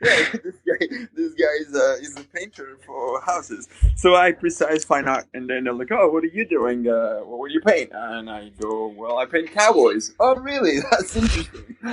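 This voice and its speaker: A man with a French accent at a moderate pace, his loudness swinging widely. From France, near Paris. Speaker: painter and artist. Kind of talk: interview conversation. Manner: halting, many fillers and restarts.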